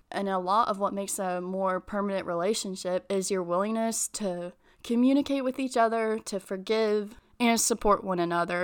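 A woman's voice at a fairly quick pace, an ordinary speaking voice, in a very clean recording with a silent background. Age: 20s. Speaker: podcast host. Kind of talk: casual solo talk. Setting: home.

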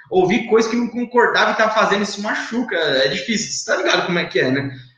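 Lively intonation comes through audible room echo and noticeable background noise. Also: man. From São Paulo state (Itapevi, greater São Paulo). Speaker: network marketing leader, former engineer. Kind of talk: live interview. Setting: online live stream. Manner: casual slangy speech.

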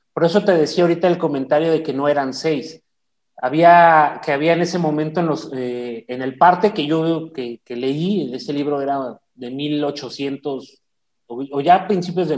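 A man with an unremarkable speaking voice talks at a fairly slow pace and a fairly high pitch. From Chihuahua, Mexico. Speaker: retired army officer, podcast co-host. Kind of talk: casual chat.

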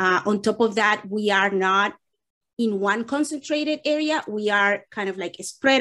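A woman speaks in a fairly high pitch with a Spanish accent. The background stays quiet. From Dominican Republic (Santo Domingo). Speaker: nonprofit executive director. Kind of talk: interview answers.

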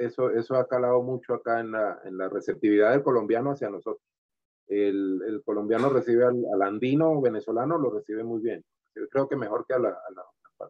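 A normal speaking voice from a man, medium in pitch, with ordinary pitch variation and a fairly quick pace. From Venezuela, Valera (Trujillo state). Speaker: sculptor and comedian. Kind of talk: interview.

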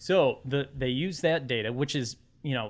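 At a moderate pace, a man of medium pitch speaks in a plain, everyday voice. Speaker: political blogger. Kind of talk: casual chat.

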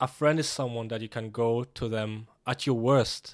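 A man's medium-pitched voice at a moderate pace, monotone and flat, on a very clean recording with a silent background. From Kenya and Germany. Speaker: podcast co-host. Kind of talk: casual chat.

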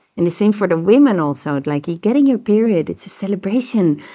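Noticeable background noise sits behind a woman with a Dutch accent. Her intonation is lively. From Netherlands. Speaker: tantra teacher and therapist. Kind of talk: interview. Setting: recorded in Koh Phangan.

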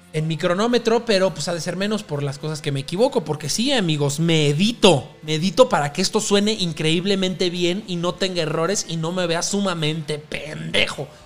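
This man talks at a moderate pace with hardly any pauses, his pitch high and its variation ordinary. His tone is animated, and noticeable background noise is present. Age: 20s. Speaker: podcast host. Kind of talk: casual music podcast monologue. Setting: home recording at night.

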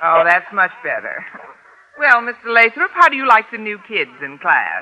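A woman's put-on character voice, bright and sharp in tone, with very wide pitch swings. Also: medium pitch for a woman, moderate pace.

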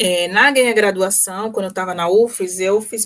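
A woman talks in a normal speaking voice at medium pitch. Her pace is moderate. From Brazil, Salvador (Bahia). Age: 20s. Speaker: medical physicist, master's student. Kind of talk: radio interview. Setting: radio interview.

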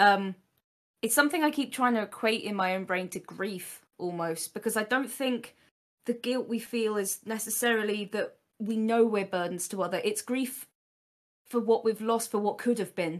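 A woman's unremarkable speaking voice, fairly high in pitch with ordinary variation, at a moderate pace against a quiet background. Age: 20s. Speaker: streamer and series creator. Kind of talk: casual chat.

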